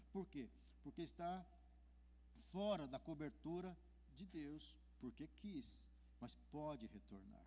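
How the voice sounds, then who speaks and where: Leaving long pauses again and again, a male speaker proceeds very slowly. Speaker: pastor. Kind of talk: sermon. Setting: church. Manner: halting, with self-corrections.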